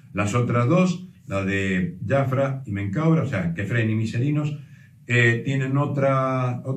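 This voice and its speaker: Audible room echo surrounds a man speaking at a very slow pace. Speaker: presenter. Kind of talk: explanatory talk. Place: home room. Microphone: camera far.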